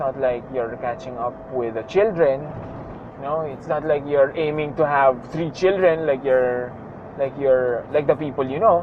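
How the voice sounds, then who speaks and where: A man with a fairly high pitch talks at a moderate pace with ordinary pitch variation and big swings in loudness, amid noticeable background noise. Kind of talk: casual vlog talk while driving. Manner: rambling, reflective.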